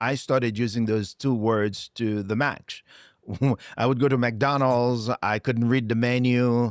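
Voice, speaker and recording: A man with a Haitian accent, medium in pitch, at a fairly slow pace and very even loudness, the sound dry and close with no echo and the recording very clean against a silent background. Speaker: motivational speaker. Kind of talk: interview. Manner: animated.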